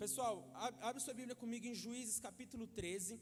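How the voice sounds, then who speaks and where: Quick-ish delivery amid noticeable background noise and audible room echo. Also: man. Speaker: preacher. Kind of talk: sermon. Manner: fast.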